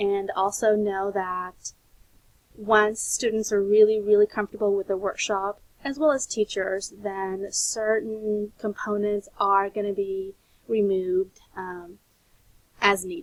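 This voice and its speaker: A woman with a plain, everyday voice speaks at a fairly slow pace, her medium pitch carried on fairly even intonation. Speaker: teacher trainer. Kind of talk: recorded lecture presentation.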